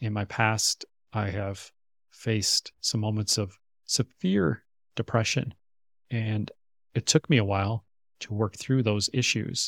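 In an American accent, a man with a fairly low voice speaks at a fairly slow pace with fairly even intonation and long, frequent pauses, on a very clean recording with a silent background and a dry, close sound with no echo. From US Midwest, Minnesota. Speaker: relationship coach and podcast co-host. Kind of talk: casual chat.

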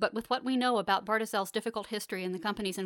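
This is an unforced reading voice. The words are read out in an unforced reading voice.

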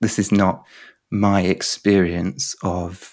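Very deep and low, a man's voice carries a southern English accent with fairly even intonation. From southern England. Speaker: poet. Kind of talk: interview conversation. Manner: halting.

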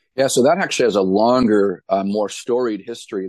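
A man with a New England accent and a fairly low pitch is heard in a dry, close sound with no echo. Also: quiet background. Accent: New England American. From New Hampshire. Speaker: pastor and author. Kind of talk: interview.

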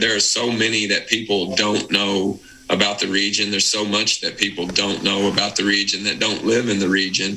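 With an Appalachian accent, a man speaks at fairly low pitch and a moderate pace in a monotone, flat intonation over noticeable background noise. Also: very even loudness. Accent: Appalachian Southern US. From Eastern Kentucky, Appalachia. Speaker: podcast co-host. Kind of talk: casual chat.

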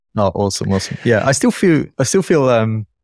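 Recorded very cleanly with a silent background and a dry, close sound with no echo, the speaker talks at a moderate pace with a non-native accent. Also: man. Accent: dodgy accent, non-native. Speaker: YouTube tech reviewer. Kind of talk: casual chat.

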